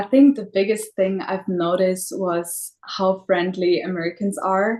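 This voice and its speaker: A woman speaks in a German accent at a fairly slow pace. Her pitch is medium, with ordinary pitch variation. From Germany. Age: 20s. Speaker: au pair. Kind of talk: live stream chat.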